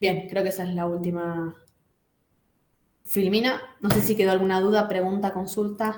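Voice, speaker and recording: A woman at a medium pitch speaks in a monotone, flat way, with long, frequent pauses. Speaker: lecturer. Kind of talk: lecture. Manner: fast.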